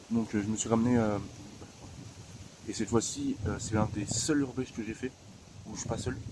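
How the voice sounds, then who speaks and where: Over noticeable background noise, a man at a medium pitch talks at a moderate pace with fairly even intonation and long, frequent pauses. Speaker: urbex video creator. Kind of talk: casual vlog narration. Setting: outdoors, trespassing urbex site. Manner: hesitant, many fillers. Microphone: quiet, turn volume up.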